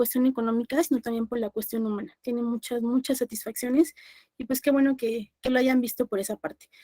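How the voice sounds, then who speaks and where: Recorded dry and close with no echo, a woman speaks at a high pitch with ordinary pitch variation. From Mexico, Puebla. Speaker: law lecturer. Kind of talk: online class lecture. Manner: fast.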